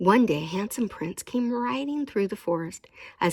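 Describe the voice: Someone reads aloud plainly, using lively intonation.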